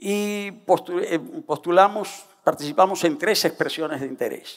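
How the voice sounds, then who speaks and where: Speaking at a fairly slow pace, a man uses a high-pitched voice. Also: quiet background. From Dominican Republic. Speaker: government climate official; public council panelist. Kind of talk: panel discussion. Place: stage. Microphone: headset.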